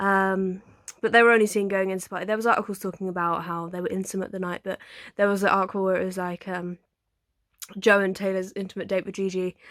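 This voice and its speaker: Over a very clean recording with a silent background, a woman speaks very fast in an English accent, her medium-pitched voice monotone and flat. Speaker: YouTuber. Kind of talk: casual chat. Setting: bedroom. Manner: halting.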